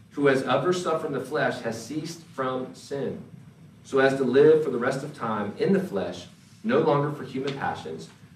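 Over noticeable background noise, a man with an American accent speaks at a moderate pace in a fairly high voice with lively intonation. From North Carolina. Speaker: pastor. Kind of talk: sermon. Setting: church.

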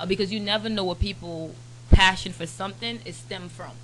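A woman's bright, sharp voice with vocal fry at a fairly quick pace. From Turks and Caicos, then South Florida (Broward County). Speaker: media platform founder. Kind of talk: casual chat.

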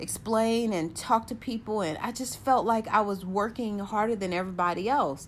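Using a plain, everyday voice, a woman talks at a fairly quick pace with a fairly high pitch. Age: 40s. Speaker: podcaster and network marketer. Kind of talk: personal monologue. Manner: rambling, many fillers.

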